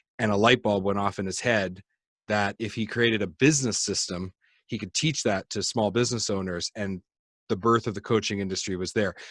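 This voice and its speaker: A man with a Canadian accent speaks in an ordinary speaking voice at a fairly low pitch and moderate pace, with fairly even intonation and a dry, close sound with no echo on a very clean recording with a silent background. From Canada. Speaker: podcast host. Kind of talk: interview.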